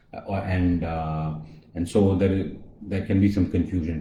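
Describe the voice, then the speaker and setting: A man with a Tamil accent, very deep and low in pitch, somewhat breathy with a dark, mellow tone, fairly even intonation at a moderate pace, and audible room echo. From India, Chennai. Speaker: colorectal surgeon. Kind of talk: live-stream health talk. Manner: hesitant, many fillers.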